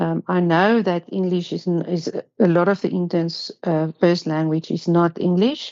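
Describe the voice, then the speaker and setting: A non-native accent at a fairly slow pace, with fairly even intonation. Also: woman. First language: not English. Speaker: pharmacy council assessor. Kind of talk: online workshop presentation. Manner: hesitant, many fillers and repetitions.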